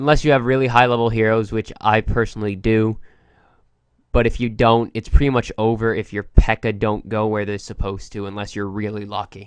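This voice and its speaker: The delivery is fairly quick and flat, monotone in intonation, over a quiet background. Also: man, fairly low pitch for a man. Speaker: gaming commentator. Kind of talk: gameplay commentary.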